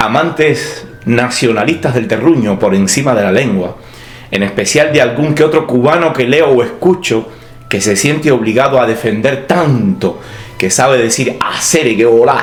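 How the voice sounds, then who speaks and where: Amid noticeable background noise and audible room echo, the voice moves at a moderate pace with ordinary pitch variation and very even loudness. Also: man, medium pitch for a man. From Cuba. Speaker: writer and university teacher. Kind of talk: scripted opinion monologue. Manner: clear, broad vocalization.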